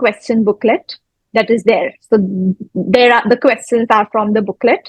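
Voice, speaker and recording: A woman with an Indian accent talks at a moderate pace and a fairly high pitch, with fairly even intonation and very even loudness. The sound is dry and close, with no echo. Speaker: dentist, oral pathologist. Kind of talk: interview answer.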